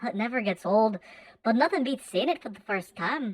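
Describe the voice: A woman puts on a character voice in an Irish accent, pitched fairly high. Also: moderate pace.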